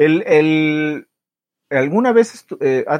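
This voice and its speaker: A man with a Mexican accent, the sound dry and close with no echo. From Mexico. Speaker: podcast co-host. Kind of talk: casual chat.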